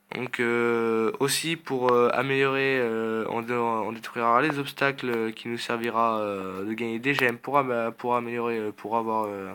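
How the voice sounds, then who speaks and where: Against noticeable background noise, a man speaks at a fairly slow pace and medium pitch with fairly even intonation. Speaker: gaming youtuber. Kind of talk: gameplay commentary. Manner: halting, many filler sounds.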